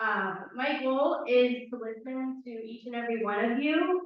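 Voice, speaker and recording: An ordinary speaking voice from a woman with an American accent and ordinary pitch variation. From Windermere, Florida. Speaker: town council candidate. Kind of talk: candidate speech at a public forum. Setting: town hall forum with audience.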